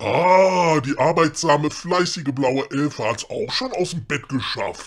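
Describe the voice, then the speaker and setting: Fairly slow pace in a put-on character voice. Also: man, fairly high pitch for a man. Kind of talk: comedy audio drama. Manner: gruff, sarcastic.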